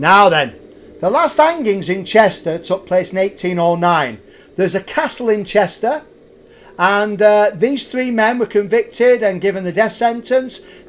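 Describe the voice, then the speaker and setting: Animated and high-pitched, a man speaks with lively intonation and a Lancashire accent. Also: moderate pace. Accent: Lancashire, drops H's. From Lancashire, northern England. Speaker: ghost tour guide. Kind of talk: live storytelling ghost tour. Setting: live stream.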